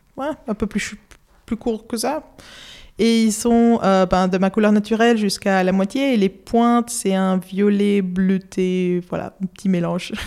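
A woman with a Spanish accent speaks at a fairly slow pace, her medium pitch carried by fairly even intonation. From Spain, Madrid. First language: Spanish (speaking French). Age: 20s. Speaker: illustrator. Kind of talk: casual interview. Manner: halting, many hesitations.

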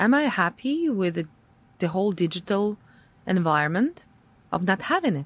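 A woman speaks with a Russian accent at medium pitch, with lively intonation and a moderate pace. She leaves long, frequent pauses, and the recording is very clean with a silent background. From Latvia, Riga, Russian-speaking family. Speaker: tech entrepreneur. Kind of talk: interview conversation. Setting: studio.

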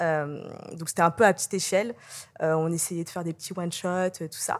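A woman's medium-pitched voice sits on a very clean recording with a silent background. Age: 30s. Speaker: social media and influencer relations manager. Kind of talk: interview. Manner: hesitant, many fillers.

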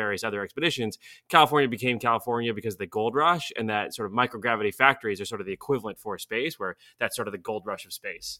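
A man talks at a very fast pace with a bright, sharp tone, medium pitch and ordinary pitch variation. The recording is very clean, with a silent background and a dry, close sound with no echo. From Bulgaria. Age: 20s. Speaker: space startup co-founder. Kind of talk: interview. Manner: animated.

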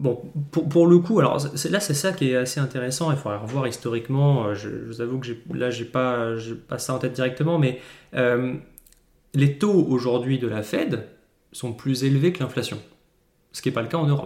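A man's moderate pace with ordinary pitch variation and long, frequent pauses. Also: medium pitch for a man. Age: 20s. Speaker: podcast host, portfolio manager. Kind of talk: solo market commentary. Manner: casual, hesitant with frequent repetitions.

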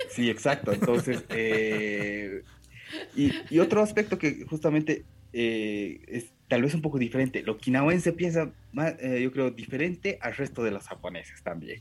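At a fairly slow pace, the speaker uses very wide pitch swings with a Japanese accent. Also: man, medium pitch for a man. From Bolivia. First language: Japanese (speaking Spanish). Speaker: language school director and Japanese teacher. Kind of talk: interview. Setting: video call.

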